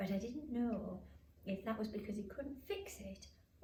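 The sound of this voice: The speaker uses an unforced reading voice. It is heard throughout the clip.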